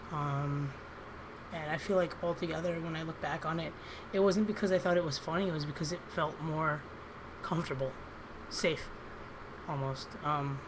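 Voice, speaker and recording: In a room with audible echo, a woman with a very deep, low pitch speaks at a moderate pace with fairly even intonation, leaving long, frequent pauses. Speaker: vlogger. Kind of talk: personal video diary. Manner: hesitant, many ums.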